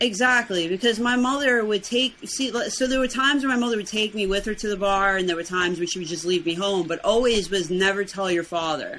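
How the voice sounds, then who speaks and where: A woman with a slight New York accent speaks at a very fast pace in a medium pitch, with ordinary pitch variation. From Brooklyn, New York. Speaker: podcast guest, weight loss challenge winner. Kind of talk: casual interview.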